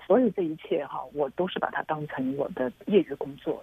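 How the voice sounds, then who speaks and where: Her voice is very deep and low. The woman keeps a moderate pace. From China. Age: middle-aged. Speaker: filmmaker. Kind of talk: interview.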